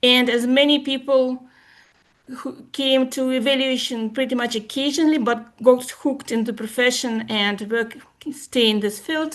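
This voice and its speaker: A woman speaks with a Russian accent. Her pitch is high. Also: fairly even intonation, moderate pace. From former USSR. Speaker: evaluation expert. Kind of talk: presentation.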